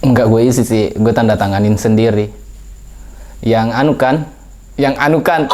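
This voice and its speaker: Noticeable background noise sits behind a man speaking at a moderate pace. His loudness stays very even, and he takes long, frequent pauses. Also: medium pitch for a man, ordinary pitch variation. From Indonesia, West Sulawesi (Polewali Mandar). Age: young. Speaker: interviewee. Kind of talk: casual interview. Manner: halting.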